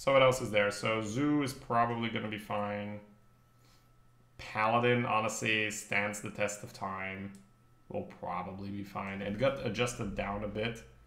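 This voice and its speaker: A man with a fairly low pitch at a moderate pace, long and frequent pauses, audible room echo and noticeable background noise. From northern Belgium (Flanders). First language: Dutch. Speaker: game streamer. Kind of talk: live gameplay commentary. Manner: casual, thinking aloud.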